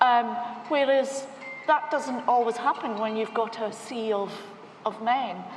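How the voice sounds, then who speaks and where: Noticeable background noise surrounds a high-pitched woman with a Scottish accent and ordinary pitch variation. She talks fairly slowly, with long, frequent pauses. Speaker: bank technology executive. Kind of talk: panel discussion.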